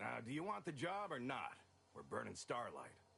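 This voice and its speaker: A man puts on a raspy character voice pitched fairly high. He keeps a moderate pace over clear background noise. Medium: video game. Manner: haughty, mocking.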